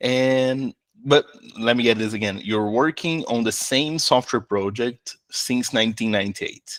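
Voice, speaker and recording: This man has a Brazilian accent and a medium pitch with ordinary pitch variation. He talks at a fairly slow pace, and the sound is dry and close with no echo. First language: Portuguese. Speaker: interviewer. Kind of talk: interview. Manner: hesitant.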